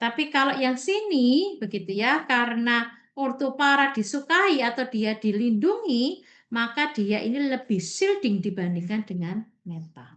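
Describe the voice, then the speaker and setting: A woman's high-pitched voice with very wide pitch swings, a fairly slow pace and hardly any pauses, against a quiet background. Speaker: university lecturer. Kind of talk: online lecture. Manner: slow, deliberate explaining; loud.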